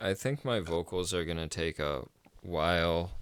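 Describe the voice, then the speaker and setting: A man's very deep, low voice at a very slow pace, dry and close with no echo, on a very clean recording with a silent background. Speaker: podcast host and metal vocalist. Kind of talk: casual chat.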